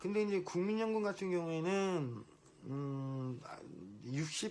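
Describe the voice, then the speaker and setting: A man with lively intonation. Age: 50s. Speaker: business owner. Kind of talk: casual monologue vlog. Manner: hesitant, with false starts.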